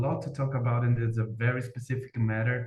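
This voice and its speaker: With a Brazilian Portuguese accent, a man of medium pitch speaks in a dark, mellow, somewhat breathy voice with monotone, flat intonation, and room echo is audible. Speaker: academic researcher. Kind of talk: conference presentation. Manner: halting.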